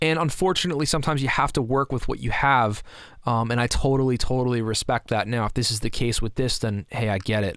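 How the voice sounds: Using a fairly bright tone and fairly even intonation, a man talks at a fast pace and a medium pitch.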